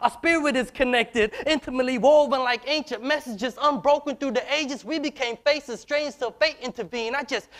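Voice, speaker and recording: A man with an American accent, extremely high pitch, ordinary pitch variation and a fairly quick pace over a quiet background. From US. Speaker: spoken word poet. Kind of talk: spoken word performance. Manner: rhythmic. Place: stage. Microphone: lapel.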